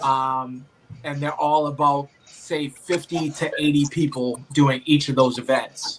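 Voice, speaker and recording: With a Boston accent, a man speaks fairly slowly at a fairly high pitch in monotone, flat intonation. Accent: thick Boston. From Boston, Massachusetts. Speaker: obstacle race athlete and referee. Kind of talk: casual chat.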